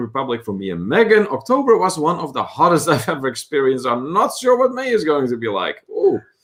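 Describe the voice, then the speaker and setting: A man speaks with a Dutch accent at a fairly quick pace. His pitch swings very widely. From Netherlands. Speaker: travel vlogger, livestream co-host. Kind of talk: casual livestream chat, reading viewer comments.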